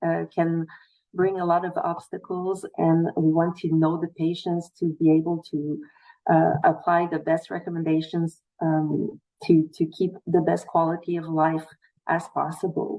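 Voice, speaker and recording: Speaking at a fairly slow pace, a woman with a Quebec accent uses a fairly low pitch. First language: French. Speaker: nutritionist. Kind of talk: panel presentation. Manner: halting.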